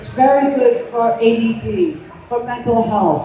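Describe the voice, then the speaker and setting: A woman speaks at a fairly slow pace. Noticeable background noise and audible room echo surround her voice. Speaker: cannabis educator. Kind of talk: live demonstration talk. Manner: loud.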